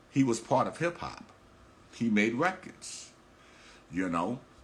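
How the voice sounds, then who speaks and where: At a fairly slow pace, a man with an American accent talks at a medium pitch. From New York, the Bronx. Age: 60s. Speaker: hip hop promoter and podcast host. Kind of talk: casual talk on a livestream. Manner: halting, repeats words.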